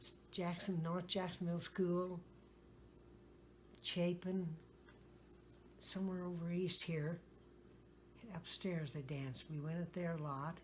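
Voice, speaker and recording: A woman with an American accent speaks at a fairly slow pace with long, frequent pauses. Her fairly low voice is somewhat breathy and her intonation is monotone and flat. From US Midwest, west-central Illinois. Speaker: retired farmer. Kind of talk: oral history interview. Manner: halting.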